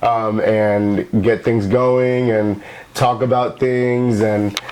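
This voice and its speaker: Noticeable background noise sits behind a man with an American accent and medium pitch. He talks at a fairly slow pace with fairly even intonation. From Dominican, grew up in the US. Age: 30s. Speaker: actor and podcast co-host. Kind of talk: casual chat.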